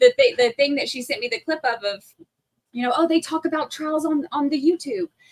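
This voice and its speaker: A woman speaks with an American accent at a high pitch and very wide pitch swings. The sound is dry and close with no echo. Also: fairly quick pace. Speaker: podcaster. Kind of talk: casual chat.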